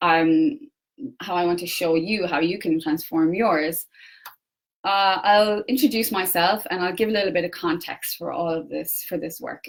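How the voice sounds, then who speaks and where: Using an Irish accent, a woman speaks at a fairly low pitch and a moderate pace with ordinary pitch variation. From Ireland. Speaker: personal development coach. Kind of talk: facebook live talk. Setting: facebook live. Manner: hesitant, many fillers.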